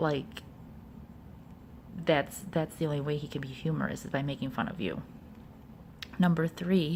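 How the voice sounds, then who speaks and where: A woman at a moderate pace, somewhat breathy, with ordinary pitch variation. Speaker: video blogger giving relationship advice. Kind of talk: casual talk to camera. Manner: halting, many fillers.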